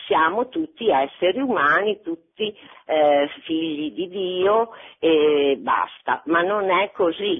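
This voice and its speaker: Speaking at a very slow pace, a woman talks with a fairly low pitch. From Bologna, Italy. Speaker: retired teacher. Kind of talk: phone-in comment. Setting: phone call.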